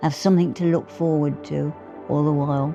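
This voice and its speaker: A woman's very deep, low voice with fairly even intonation at a moderate pace, music playing in the background. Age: 80s+. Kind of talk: interview answer. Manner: quiet, conversational.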